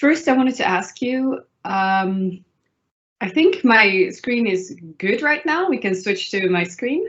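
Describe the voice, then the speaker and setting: The intonation is lively. A woman delivers it at a very slow pace. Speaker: programming teacher. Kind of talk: online lecture. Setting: live stream. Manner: slow, will try to speed up.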